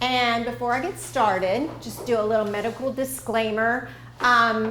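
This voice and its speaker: A woman speaks at a moderate pace with an American accent, her pitch fairly high and its variation ordinary. Audible room echo surrounds her voice. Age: 60s. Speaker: dietitian. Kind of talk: lecture.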